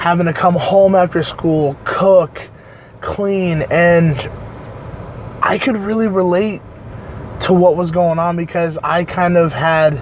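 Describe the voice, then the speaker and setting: Amid noticeable background noise, a man with a high pitch speaks at a very slow pace with long, frequent pauses and fairly even intonation. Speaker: online reviewer. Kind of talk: casual review monologue. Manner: halting, many fillers.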